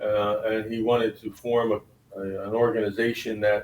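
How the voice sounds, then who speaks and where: This man has a plain, everyday voice, fairly low in pitch, delivered at a moderate pace. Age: 60s. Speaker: lawyer. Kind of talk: interview.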